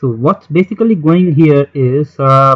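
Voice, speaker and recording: The man's fairly high voice moves with ordinary pitch variation, and the sound is dry and close with no echo. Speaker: chess tutor. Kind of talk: tutorial. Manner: slow, deliberate; halting, self-correcting.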